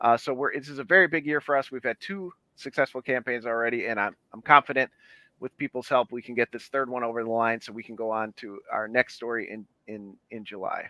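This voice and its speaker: A man with a normal speaking voice talks at a fairly quick pace in a medium pitch, with ordinary pitch variation and big swings in loudness. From Chicago, US Midwest. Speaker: independent comic book publisher. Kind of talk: casual chat.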